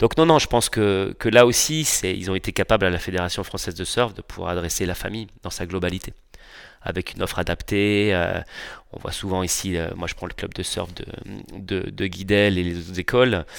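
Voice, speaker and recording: Very deep and low in pitch, a man speaks at a fairly quick pace with ordinary pitch variation in a very clean recording with a silent background. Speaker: water ski park owner. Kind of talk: casual interview. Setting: on location at his park.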